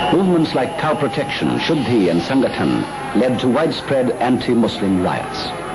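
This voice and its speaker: Over background music, a man with a medium pitch speaks at a moderate pace, his voice swinging very widely in pitch. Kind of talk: documentary narration.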